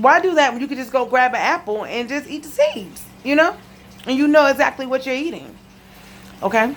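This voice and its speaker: The voice has lively intonation. Noticeable background noise sits behind it. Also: woman. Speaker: cancer survivor vlogger. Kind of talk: casual testimony vlog. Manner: fast. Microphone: laptop recording.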